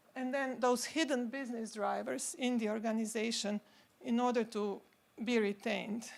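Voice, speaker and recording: A woman with a non-native accent, fairly high in pitch, at a moderate pace with fairly even intonation. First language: not English. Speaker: symposium speaker, pharma consultant. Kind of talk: conference talk. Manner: halting.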